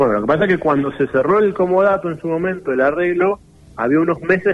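A man with a high pitch talks at a fairly quick pace, his pitch varying in an ordinary way. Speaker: municipal official. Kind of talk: radio phone interview. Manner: halting, frequent repetitions.

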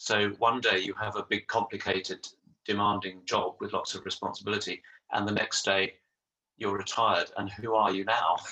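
A man speaks at a moderate pace with a fairly low pitch. His tone is bright and sharp, his intonation monotone and flat. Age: 60s. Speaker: retired social worker and yoga practitioner. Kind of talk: casual chat.

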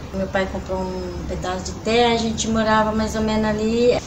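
A woman speaks at a medium pitch with ordinary pitch variation. Noticeable background noise and audible room echo surround her voice. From São Paulo state, Brazil (Pirapora do Bom Jesus / Santana de Parnaíba). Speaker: museum cleaner. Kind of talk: oral history interview.

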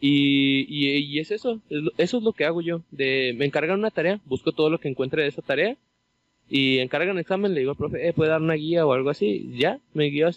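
Ordinary pitch variation marks this very fast delivery. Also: man, fairly high pitch for a man. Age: 20s. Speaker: podcast co-host. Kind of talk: casual chat.

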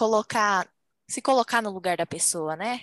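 Lively intonation marks this woman's ordinary speaking voice at a moderate pace. The sound is dry and close with no echo, over a quiet background. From Brazil. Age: 20s. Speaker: medical student. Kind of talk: casual chat.

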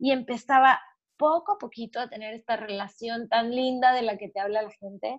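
Heard in a dry, close sound with no echo, a woman with an unremarkable speaking voice and fairly high pitch speaks at a moderate pace, her intonation fairly even and her loudness swinging widely. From Mexico. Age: 30s. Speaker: entrepreneur and podcaster, mother. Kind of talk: interview, casual chat.

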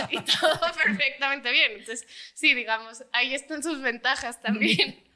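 A woman with a plain, everyday voice, a moderate pace and ordinary pitch variation. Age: 20s. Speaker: footballer's daughter. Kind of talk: casual family chat.

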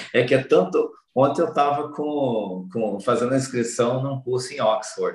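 With an ordinary speaking voice, a man talks at a fairly slow pace in a medium pitch with ordinary pitch variation. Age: 40s. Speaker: personal development speaker. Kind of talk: interview.

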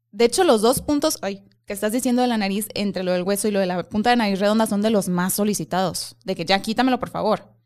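With a Mexican accent, a woman speaks very fast at a medium pitch, with ordinary pitch variation and hardly any pauses, in a very clean recording over a silent background. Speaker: face-reading coach. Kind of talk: casual chat.

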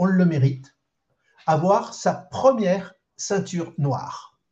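This man's voice is high-pitched. He speaks very slowly. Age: 70s. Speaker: karate club president. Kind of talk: interview.

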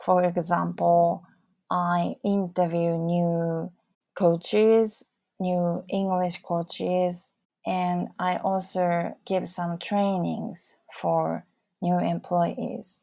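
In a Japanese accent, a woman speaks very slowly with a fairly low pitch, a dark, mellow tone and monotone, flat intonation on a very clean recording with a silent background. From Fukushima, Japan. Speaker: English learning coach and podcaster. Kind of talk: solo podcast self-introduction. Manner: slightly halting, with fillers.

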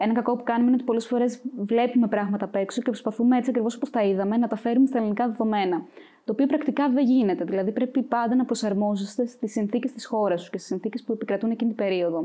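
A woman with a fairly high pitch and ordinary pitch variation, very fast, over noticeable background noise. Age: 20s. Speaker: university student, volunteer organizer. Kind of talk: interview.

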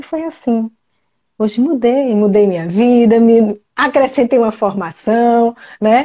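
An unremarkable speaking voice, with ordinary pitch variation, proceeds at a fairly slow pace. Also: woman, fairly high pitch for a woman. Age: 40s. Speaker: family constellation therapist. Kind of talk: live stream chat; guided meditation.

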